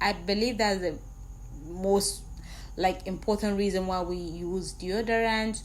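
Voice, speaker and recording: A woman with a non-native accent, speaking at a very slow pace, with audible room echo. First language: not English. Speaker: skincare product maker and trainer. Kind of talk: tutorial. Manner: casual, repetitive.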